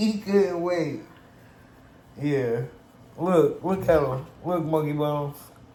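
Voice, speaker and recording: A man with a fairly high pitch and a dark, mellow tone speaks at a very slow pace with ordinary pitch variation. Long, frequent pauses and audible room echo mark the clip. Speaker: cooking vlogger. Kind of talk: casual chat.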